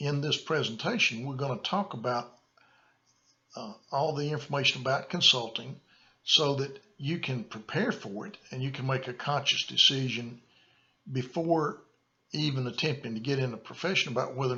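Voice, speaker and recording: A man with a Southern US accent, fairly high in pitch, at a moderate pace and with ordinary pitch variation. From US South, rural small town. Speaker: consultant and course presenter. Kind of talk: lecture. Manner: halting, frequent fillers and repeats.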